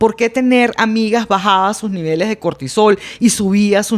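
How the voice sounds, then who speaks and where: A woman speaks with a normal speaking voice at medium pitch. Her pace is moderate. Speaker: blogger and public speaking teacher. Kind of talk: casual podcast conversation.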